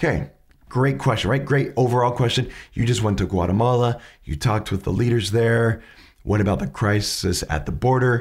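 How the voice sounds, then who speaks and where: A man talks in a medium pitch with vocal fry and lively intonation. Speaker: podcast host teaching questioning skills. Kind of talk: educational commentary on interview clips. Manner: conversational, with hesitations.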